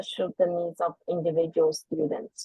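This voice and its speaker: At a fairly slow pace, a woman talks with a non-native accent. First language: not English. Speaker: parent giving public comment. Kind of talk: prepared public comment. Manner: formal.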